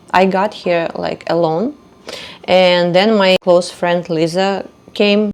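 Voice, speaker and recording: Through noticeable background noise, a woman with a Russian accent speaks fairly slowly with fairly even intonation. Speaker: podcaster. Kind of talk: personal storytelling monologue. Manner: hesitant, with fillers.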